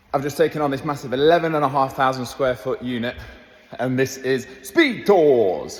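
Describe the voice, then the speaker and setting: With an East Midlands accent, a man speaks at a medium pitch over noticeable background noise. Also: ordinary pitch variation, moderate pace. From Leicester, England. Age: 20s. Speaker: gymnastics coach. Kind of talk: casual walkthrough tour to camera. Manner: upbeat.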